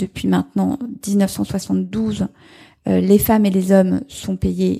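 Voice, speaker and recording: This very clean recording, with a silent background, captures a woman talking. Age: 40s. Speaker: member of parliament. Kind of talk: live panel discussion. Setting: stage with audience.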